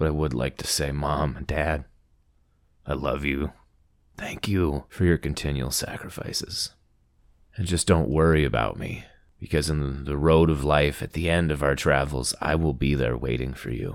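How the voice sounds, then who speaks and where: A man with an American accent speaks at a moderate pace. His pitch is very deep and low, with vocal fry. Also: fairly even intonation. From Montana. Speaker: podcast host. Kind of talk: personal storytelling narration.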